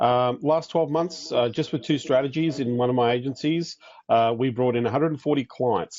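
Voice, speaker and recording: Here a man speaks with an Australian accent at a fairly quick pace. His pitch is medium, with ordinary pitch variation. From Australia (Queensland). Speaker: business coach for agency owners. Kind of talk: online training webinar. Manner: fast.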